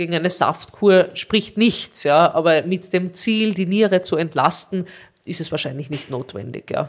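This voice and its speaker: A woman with a normal speaking voice, fairly low pitch, ordinary pitch variation and a fairly slow pace, in a very clean recording with a silent background. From Austria, Carinthia. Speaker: nephrologist. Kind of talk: interview.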